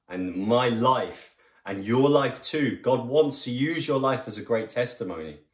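In a room with audible echo but a quiet background, a man speaks at a fairly slow pace with a medium pitch and ordinary pitch variation. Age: 30s. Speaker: online preacher. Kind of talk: sermon. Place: home room. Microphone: phone near.

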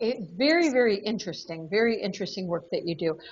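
A somewhat breathy woman speaks with very wide pitch swings. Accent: American. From United States. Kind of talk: interview host. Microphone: video call.

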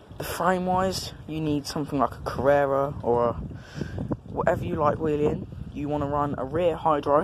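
A man with fairly even intonation, against noticeable background noise. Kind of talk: casual bike check talk. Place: street. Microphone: phone near.

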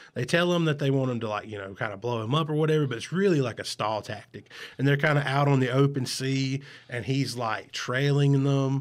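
Over a quiet background, a man with a Southern US accent speaks at a fairly quick pace. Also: ordinary pitch variation. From US South. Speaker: podcast host. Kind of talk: casual chat. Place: home room. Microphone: studio mic.

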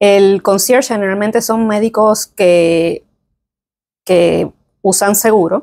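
Delivered at a very slow pace with long, frequent pauses, the voice has a dark, mellow tone and fairly even intonation. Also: woman, quiet background. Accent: Puerto Rican. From Puerto Rico, San Juan. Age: 20s. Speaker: physician; guest. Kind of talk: interview. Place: meeting room.

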